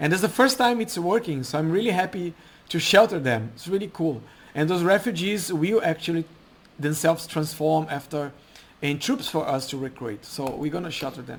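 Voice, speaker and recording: This man has a non-native accent and a high pitch, and his intonation is lively. He talks at a moderate pace. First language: not English. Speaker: game mod developer. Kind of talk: gameplay commentary. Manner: halting, self-correcting.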